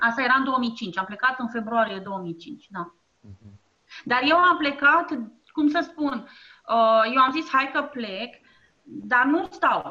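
A raised, projected voice with a bright, sharp tone moves at a very slow pace, with lively intonation and big swings in loudness. Long pauses come often. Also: woman, high pitch for a woman. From Romania, Ploiești. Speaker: entrepreneur. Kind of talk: interview. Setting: internet call.

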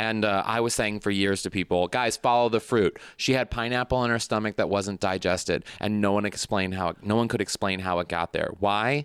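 A man with a Midwestern American accent and a fairly low pitch speaks at a fairly quick pace, with hardly any pauses, very even loudness and fairly even intonation. The recording is very clean with a silent background, its sound dry and close with no echo. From St. Louis, Missouri. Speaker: comedian. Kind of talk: casual chat.

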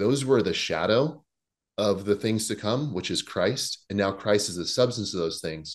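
Over a quiet background, a man with an ordinary speaking voice and fairly low pitch talks at a moderate pace with lively intonation. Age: 40s. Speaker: pastor and former fitness competitor. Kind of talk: casual chat.

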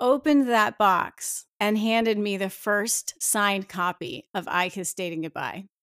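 The speaker has an unremarkable speaking voice with an American accent, going at a fairly slow pace with ordinary pitch variation. The recording is very clean with a silent background, dry and close with no echo. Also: woman, hardly any pauses. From New Jersey, US. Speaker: author. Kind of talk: interview.

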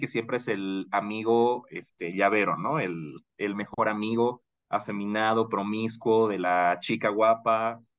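A man's normal speaking voice, medium in pitch, with ordinary pitch variation and a quiet background. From Bolivia. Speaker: marketing professional. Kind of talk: casual chat.

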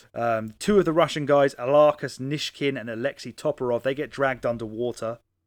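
Someone with a British accent talks at a fairly quick pace with hardly any pauses. Pitch variation is ordinary, and the sound is dry and close with no echo. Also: man, medium pitch for a man. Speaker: podcast host. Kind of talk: casual chat. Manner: joking, casual, swears.

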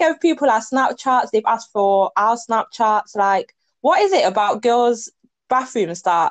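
With an English accent, a woman speaks fairly slowly in a fairly high voice, the sound dry and close with no echo. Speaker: podcast co-host. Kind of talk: casual chat.

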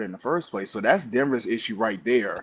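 Against a quiet background, a man talks in an unremarkable speaking voice at medium pitch with ordinary pitch variation. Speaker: panelist. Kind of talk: casual sports talk banter.

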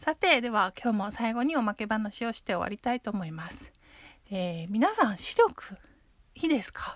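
A woman with a fairly high, somewhat breathy voice talks at a moderate pace with lively intonation and big swings in loudness. The sound is dry and close, with no echo. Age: 30s. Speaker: podcast host. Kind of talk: casual monologue. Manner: frequent fillers.

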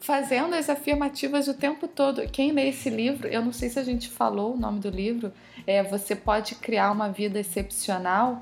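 Here is a woman with a plain, everyday voice and a fairly high pitch. Her pace is moderate and her pitch variation ordinary. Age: 30s. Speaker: holistic decor specialist. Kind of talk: casual interview.

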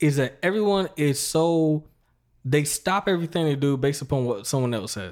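On a very clean recording with a silent background, a man talks in a plain, everyday voice. His pitch is fairly high, his intonation lively, and his pace moderate. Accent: American. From US South, North Carolina. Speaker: podcast host. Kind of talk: casual interview chat.

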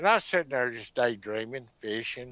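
With a Southern US accent, a man speaks at moderate pace in a bright, sharp, medium-pitched voice on a very clean recording with a silent background. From US South (Mississippi). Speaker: alien abduction witness and author. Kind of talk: testimony.

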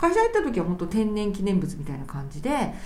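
Noticeable background noise and audible room echo surround a woman's medium-pitched voice. She talks at a fairly quick pace with ordinary pitch variation. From Japan, Kanagawa Prefecture. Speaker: lawyer. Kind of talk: interview conversation.

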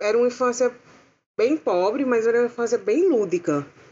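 A woman speaks at a fairly high pitch and a fairly quick pace, with ordinary pitch variation. Hers is an unremarkable speaking voice. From interior of Paraíba, Brazil. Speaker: film art director and costume designer. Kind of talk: casual chat.

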